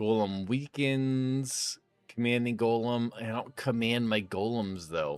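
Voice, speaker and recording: Over music in the background, a man speaks at a very slow pace, his pitch medium with ordinary variation. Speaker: video game streamer. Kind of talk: live gameplay stream chat. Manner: loud; casual, conversational.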